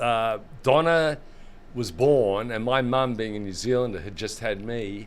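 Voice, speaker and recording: A man with an Australian accent talks at a medium pitch. His ordinary pitch variation comes with audible room echo. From Australia, Sydney. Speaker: gaming industry executive. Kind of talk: interview conversation. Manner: fast.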